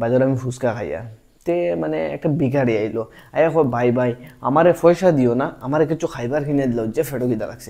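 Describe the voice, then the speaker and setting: With a Sylheti accent, a man speaks in a dark, mellow tone at medium pitch. His intonation is lively. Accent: Sylheti Bengali. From Assam, India. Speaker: stand-up comedian. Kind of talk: casual stand-up comedy talk to camera.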